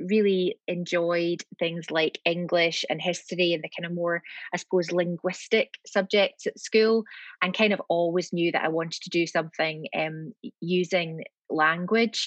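With a Scottish accent, a woman speaks at a fairly slow pace and fairly low pitch, with fairly even intonation and a dry, close sound with no echo. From Scotland, Glasgow. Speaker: lawyer. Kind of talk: interview. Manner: hesitant, many fillers.

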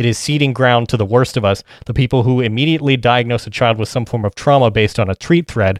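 Over a silent background in a very clean recording, a man of medium pitch speaks very fast with fairly even intonation. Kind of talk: casual chat.

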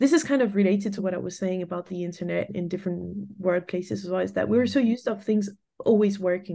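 A woman speaks very fast at a medium pitch, with ordinary pitch variation. Her tone is dark and mellow. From France. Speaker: designer and studio founder. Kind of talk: interview. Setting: remote call.

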